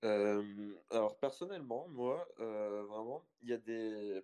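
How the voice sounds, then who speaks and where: The man's tone is dark and mellow. He speaks very slowly. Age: young. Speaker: software developer. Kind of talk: casual online panel discussion.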